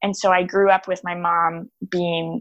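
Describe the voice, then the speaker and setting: An unremarkable speaking voice with an American accent, fairly even intonation, and a dry, close sound with no echo. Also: woman. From Texas, Austin. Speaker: small business owner and designer. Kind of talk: casual interview.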